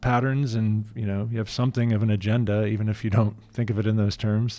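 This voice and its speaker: A man with a normal speaking voice talks at a moderate pace in a medium pitch. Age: 40s. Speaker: podcast host. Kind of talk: casual chat.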